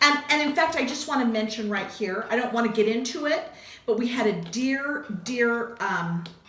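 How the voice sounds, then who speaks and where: Music plays in the background, and the room echo is audible. The speech moves at a moderate pace with lively intonation. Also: woman, fairly high pitch for a woman. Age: 60s. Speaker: craft video host. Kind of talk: casual chat.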